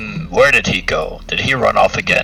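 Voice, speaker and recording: A man's raspy, put-on character voice at a moderate pace, with clear background noise. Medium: actual play.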